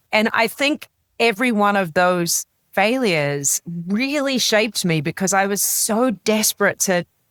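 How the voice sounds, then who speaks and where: A woman with a New Zealand accent speaks with ordinary pitch variation. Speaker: business executive and author. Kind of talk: interview conversation. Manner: animated.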